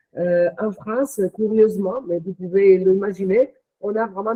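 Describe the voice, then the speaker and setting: This woman talks with a non-native accent. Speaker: company executive. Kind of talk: interview. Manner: hesitant, many fillers.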